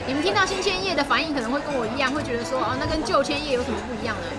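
Loud music plays in the background. A woman is speaking over it. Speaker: food vlogger. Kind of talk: casual vlog chat. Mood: cheerful, enthusiastic. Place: cafe.

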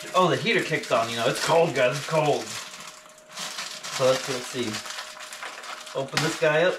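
Fairly slow male speech with noticeable background noise behind it. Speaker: home cooking vlogger. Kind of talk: casual vlog chat. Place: kitchen. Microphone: camera far.

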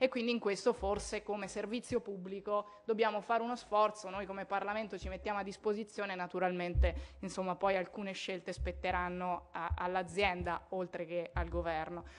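A woman has an unremarkable speaking voice at a medium pitch. She talks at a fairly quick pace with fairly even intonation. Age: 20s. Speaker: politician. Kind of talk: conference speech. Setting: parliament conference hall. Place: hall. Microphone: podium.

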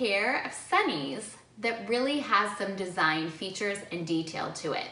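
Audible room echo surrounds speech at a fairly slow pace with ordinary pitch variation. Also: woman. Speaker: presenter. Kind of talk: tutorial. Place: home room.

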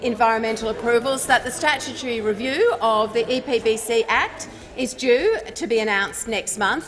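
Over light background noise, a woman talks at a moderate pace and a high pitch with ordinary pitch variation. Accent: Australian. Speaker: environment minister; government minister. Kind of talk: parliamentary debate. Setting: parliament chamber. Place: hall. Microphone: podium.

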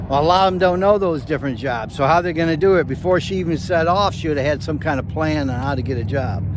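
Against noticeable background noise, a man races along at a very fast pace with hardly any pauses, his fairly high pitch heard in a dry sound with no echo. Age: 60s. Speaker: van-dwelling nomad, YouTuber. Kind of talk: casual movie review to camera. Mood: opinionated, mildly critical. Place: open country. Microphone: lapel.

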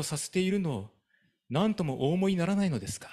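A man with a high-pitched voice talks, and the background stays quiet. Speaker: pastor. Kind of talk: reading aloud. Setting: church. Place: church. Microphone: handheld.

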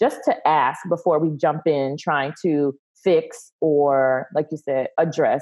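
Against a quiet background, a woman with an American accent talks at a very slow pace with ordinary pitch variation. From US South (Texas, family from Louisiana). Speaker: speech coach and speech pathologist; speech coach. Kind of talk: casual interview. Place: home room. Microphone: video call.

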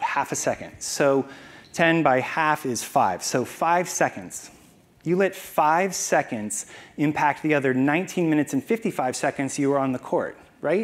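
A man speaks with an American accent and lively intonation. His pace is moderate. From Arizona. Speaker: wine entrepreneur and master sommelier; conference speaker. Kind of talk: conference talk. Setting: stage with audience. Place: hall. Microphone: lapel.

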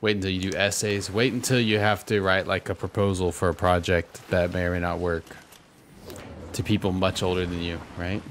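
An animated tone at a fairly quick pace over light background noise. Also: man, very deep, low pitch for a man. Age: 30s. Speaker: Fortnite streamer and pastor; Fortnite streamer, pastor. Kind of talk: casual gaming livestream chat. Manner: casual, animated. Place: home room. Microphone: studio mic.

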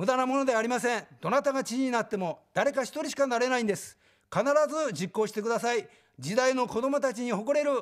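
A man at an extremely high pitch, very fast pace and ordinary pitch variation, over a quiet background. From Tokyo. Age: 60s. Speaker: political candidate; election candidate. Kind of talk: campaign speech. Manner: formal. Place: studio. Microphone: lapel.

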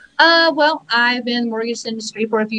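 A woman speaks with a Southern US accent. Her pitch shows ordinary variation. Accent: Southern US accent, noticeable. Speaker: mortgage branch manager. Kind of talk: casual live-stream interview. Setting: live video stream.

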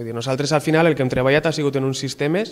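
A man talks with fairly even intonation. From Valencia, Gandia; Valencia. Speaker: doctoral researcher in acoustics. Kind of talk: interview. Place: home room. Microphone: handheld.

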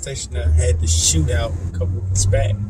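Noticeable background noise runs behind speech delivered at a moderate pace. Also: man. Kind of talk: casual vlog chat. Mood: annoyed, ranting. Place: car. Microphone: phone near.

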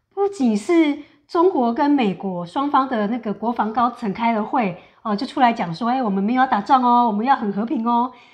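Her pitch is high, and the speaker is a woman. She keeps a moderate pace against a quiet background. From Taiwan. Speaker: co-host. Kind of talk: political commentary chat. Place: home room. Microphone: lapel.

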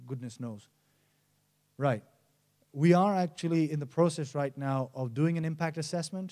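Fairly high male voice with a dark, mellow tone, ordinary pitch variation and a moderate pace over a quiet background. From Nepal. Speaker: mountaineer and environmental campaigner; conference speaker. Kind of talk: conference presentation. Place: stage. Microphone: handheld.

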